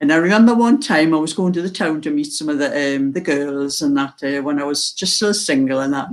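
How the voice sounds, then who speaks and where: Over noticeable background noise, a woman with a Geordie accent talks at a fairly quick pace in a very deep, low voice, with lively intonation and hardly any pauses. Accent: mild Geordie. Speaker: video tutorial maker.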